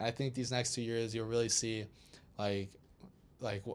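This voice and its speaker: This man talks fairly quickly. His delivery stays monotone and flat. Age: 20s. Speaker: DJ and house music producer. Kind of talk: casual interview chat.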